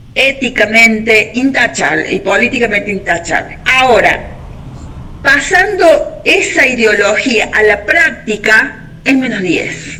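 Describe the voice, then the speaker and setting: The speech moves at a very slow pace with lively intonation and very even loudness. Noticeable background noise runs underneath. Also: woman, fairly high pitch for a woman. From Argentina. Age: 60s. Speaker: discussion participant. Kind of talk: group discussion.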